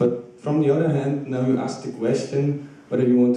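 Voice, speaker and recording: A man with a Polish accent at a fairly quick pace and fairly even intonation, amid noticeable background noise and audible room echo. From Poland. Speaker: audience member, PhD-level researcher. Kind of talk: audience question.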